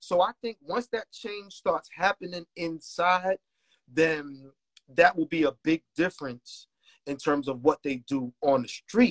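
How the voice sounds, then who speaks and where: A man with a Brooklyn accent and a high pitch talks at a fairly slow pace with lively intonation, the sound dry and close with no echo. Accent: New York (Brooklyn). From Brooklyn, New York. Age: 40s. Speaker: music producer. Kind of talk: casual chat.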